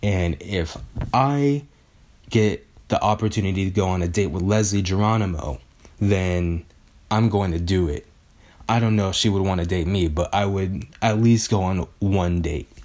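In an ordinary speaking voice, a man talks at a moderate pace, his fairly low pitch showing ordinary variation. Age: 20s. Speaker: podcast host and youtuber. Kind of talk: casual solo monologue. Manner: casual, with many filler ums.

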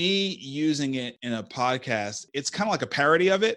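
Over a quiet background, a plain, everyday voice moves at a moderate pace with ordinary pitch variation. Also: man. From New York, Brooklyn. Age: 40s. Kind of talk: interview.

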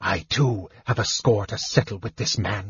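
A man growls and hisses in a put-on character voice, pitched fairly low. He speaks at a moderate pace with ordinary pitch variation. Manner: hissing, cold, resentful.

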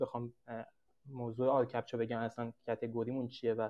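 The man talks at a fairly quick pace. His voice sits at a medium pitch. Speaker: startup founder pitching. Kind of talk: sales pitch; casual chat. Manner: fast.

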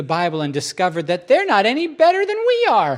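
A man's voice with very wide pitch swings over noticeable background noise. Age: 40s. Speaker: pastor. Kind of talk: sermon. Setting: church. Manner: animated.

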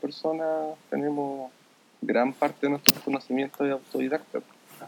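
A man with a Chilean accent, fairly high pitch and fairly even intonation. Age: 20s. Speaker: software developer. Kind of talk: casual interview.

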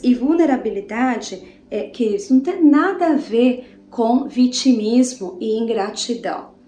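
Lively intonation comes at a fairly slow pace, with audible room echo and noticeable background noise. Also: woman. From Brazil, interior of São Paulo state. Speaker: preacher. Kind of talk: sermon. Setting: home living room.

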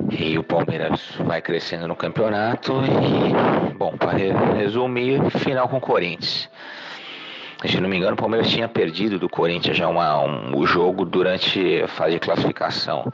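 At a moderate pace, a man talks with lively intonation and very even loudness, with noticeable background noise behind him. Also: fairly low pitch for a man. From Brazil, São Paulo state. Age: 30s. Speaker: football fan. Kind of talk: casual chat.

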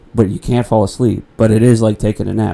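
A man's very fast delivery, dark and mellow in tone, with monotone, flat intonation. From New Orleans, Louisiana. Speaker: writer and comedian. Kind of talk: casual interview chat.

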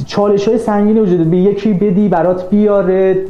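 Audible room echo and noticeable background noise surround the voice. A man talks very fast. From Iran. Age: 20s. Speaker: graduate student. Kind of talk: interview.

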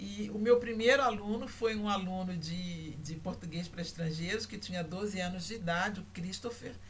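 Speaking at a moderate pace with hardly any pauses, a woman at medium pitch uses ordinary pitch variation and big swings in loudness, with noticeable background noise and audible room echo. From Brazil, Rio de Janeiro. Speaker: university lecturer in language teaching. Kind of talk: online lecture. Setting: livestream. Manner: hesitant, many fillers.

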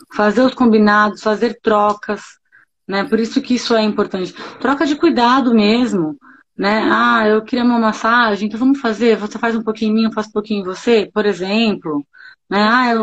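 A plain, everyday voice from a woman, fairly high in pitch, at a moderate pace with fairly even intonation. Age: 40s. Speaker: pediatrician. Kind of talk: casual chat.

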